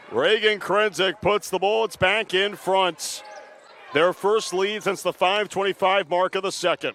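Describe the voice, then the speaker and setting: Over noticeable background noise, a man talks at a fairly slow pace with a high pitch, fairly even intonation and very even loudness. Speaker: play-by-play sports broadcaster. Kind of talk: live basketball play-by-play call. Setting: TV broadcast booth.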